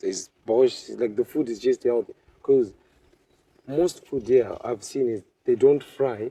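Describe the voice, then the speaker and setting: A man with a Zimbabwean accent talks at a fairly slow pace, with long, frequent pauses. The sound is dry and close, with no echo. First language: Shona. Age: 20s. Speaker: medical student. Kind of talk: interview. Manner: halting.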